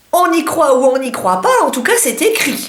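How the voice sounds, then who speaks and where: A woman's very slow delivery with very wide pitch swings and noticeable background noise. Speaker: beauty vlogger. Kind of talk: casual talk to camera.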